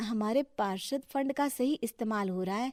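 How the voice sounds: A woman speaks at a fairly slow pace with a fairly high pitch and a slightly mellow tone in a very clean recording with a silent background.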